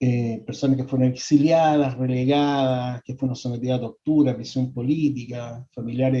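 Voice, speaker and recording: A man speaks at a medium pitch and a fairly quick pace. His intonation is flat and monotone. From Chile. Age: 60s. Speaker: psychologist. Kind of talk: lecture. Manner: halting, many repetitions and fillers.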